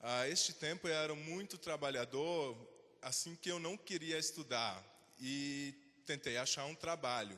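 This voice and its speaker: Bright and sharp in tone, a man's fairly high voice moves at a fairly slow pace with ordinary pitch variation. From Switzerland. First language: Swiss German (speaking Portuguese). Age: 20s. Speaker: invited speaker. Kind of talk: talk to students.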